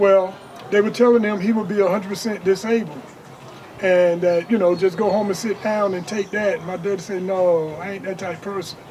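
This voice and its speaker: With noticeable background noise behind him, a man speaks at a fairly quick pace in a high pitch with fairly even intonation. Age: 60s. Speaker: entrepreneur. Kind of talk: interview. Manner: casual.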